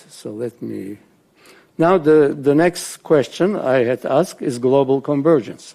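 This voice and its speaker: Very slow and medium in pitch, a man speaks with a dark, mellow tone. His loudness swings widely. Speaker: professor. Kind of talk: lecture. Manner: halting.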